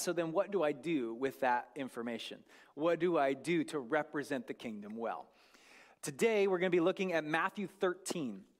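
In a very clean recording with a silent background, a man with an unremarkable speaking voice, a fairly high pitch and an American accent talks at a moderate pace with lively intonation. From US Northwest, North Idaho. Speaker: guest preacher. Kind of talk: sermon. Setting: church.

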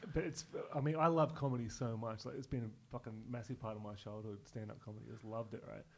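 With an Australian accent, a man talks at a very fast pace. His medium-pitched voice is somewhat breathy, with ordinary pitch variation. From Newcastle region, New South Wales, Australia. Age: 30s. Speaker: comedian. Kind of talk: casual chat.

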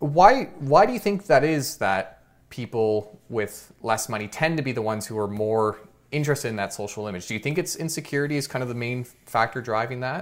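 A normal speaking voice from a man, medium in pitch, with lively intonation and a fairly quick pace. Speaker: finance YouTuber podcast host. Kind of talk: casual interview.

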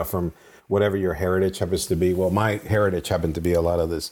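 In a very clean recording with a silent background, a man with a very deep, low pitch speaks at a very fast pace. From Venezuela and Colombia. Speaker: game designer. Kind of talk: casual interview.

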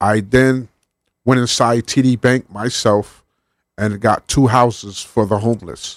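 A normal speaking voice with an American accent and ordinary pitch variation. The sound is dry and close with no echo, on a very clean recording with a silent background. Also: man. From Connecticut, New Haven. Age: 40s. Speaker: homeless advocate. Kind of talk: radio interview. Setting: radio studio.

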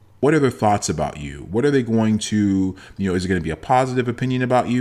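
With a Toronto accent, a man talks at a very fast pace in a fairly low pitch, his tone animated and his intonation lively. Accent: Canadian (Toronto). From Toronto, Canada. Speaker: motivational podcaster and speaker. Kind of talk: motivational monologue.

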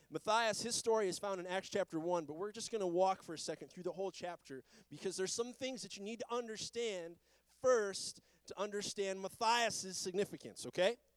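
A high-pitched male voice at a fairly quick pace, with ordinary pitch variation, big swings in loudness, and a dry, close sound with no echo. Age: 30s. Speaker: pastor. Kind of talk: sermon. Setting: church.

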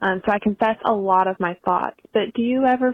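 A woman with a medium-pitched, unremarkable speaking voice talks at a moderate pace with ordinary pitch variation. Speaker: listener voicemail caller. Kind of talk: voicemail asking for advice. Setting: phone call.

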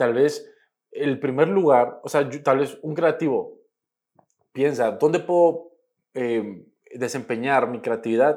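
A man speaks at a fairly slow pace in a fairly high pitch, with ordinary pitch variation and long, frequent pauses. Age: 20s. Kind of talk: podcast interview. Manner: halting, many repeated words.

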